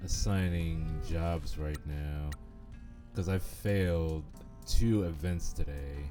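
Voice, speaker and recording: Music plays in the background as a man talks at a very slow pace. His voice is very deep and low, with ordinary pitch variation. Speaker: VTuber streamer. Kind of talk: casual gameplay commentary.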